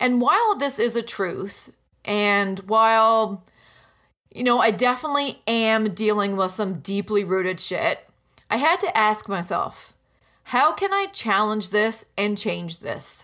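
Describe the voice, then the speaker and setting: Upbeat and animated, a woman speaks fairly slowly in a fairly high, bright, sharp voice with ordinary pitch variation. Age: 30s. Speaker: podcast host and business mentor. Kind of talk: solo podcast monologue. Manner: upbeat, animated.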